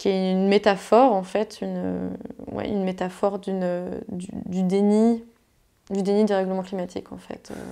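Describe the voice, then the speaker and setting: A woman speaks at medium pitch with a dark, mellow tone. Her intonation is monotone and flat, and her pace is moderate. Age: 20s. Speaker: climate activist and illustrator. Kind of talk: casual conversation. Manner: hesitant, many fillers.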